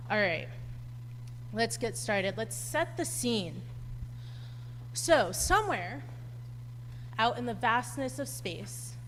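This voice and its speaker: With audible room echo, a woman speaks at a very slow pace, leaving long, frequent pauses. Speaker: astronomy PhD student giving public lecture. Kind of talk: public lecture. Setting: lecture hall with live audience. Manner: loud; animated.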